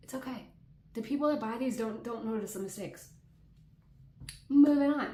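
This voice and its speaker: A woman's dark, mellow, fairly high-pitched voice with ordinary pitch variation, big swings in loudness, long, frequent pauses, and audible room echo. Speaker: crochet content creator. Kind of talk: casual chat. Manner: casual, with fillers.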